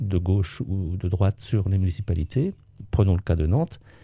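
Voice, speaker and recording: Dark, mellow tone with fairly even intonation, over a quiet background. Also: man, dry sound with no echo. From France, Vendée coast; France. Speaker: retired local government official and author; interviewee, local civic actor. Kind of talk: interview testimony; interview answer. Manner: hesitant, many fillers. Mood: calm, reflective.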